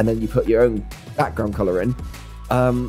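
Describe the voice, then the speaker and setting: Faint music plays in the background. A man is speaking over it. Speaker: video creator. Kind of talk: casual vlog chat. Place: home room. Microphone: studio mic.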